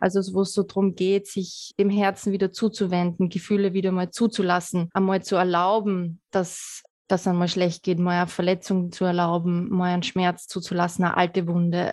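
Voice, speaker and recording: The delivery is monotone and flat, with hardly any pauses and very even loudness. The background is quiet. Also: woman, medium pitch for a woman, moderate pace. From Lower Austria. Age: 30s. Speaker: sustainability researcher. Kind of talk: interview conversation. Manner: hesitant with frequent repetitions.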